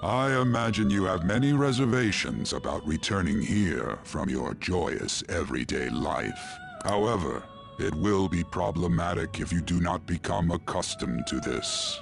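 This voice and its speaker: A man does a put-on character voice at a very deep, low pitch, with clear music in the background. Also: moderate pace. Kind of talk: mysterious mentor. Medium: video game. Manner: formal, measured, archaic phrasing.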